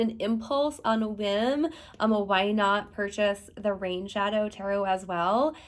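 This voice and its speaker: A woman speaks at a moderate pace. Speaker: tarot reader and deck reviewer. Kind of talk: product review talking to camera. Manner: enthusiastic.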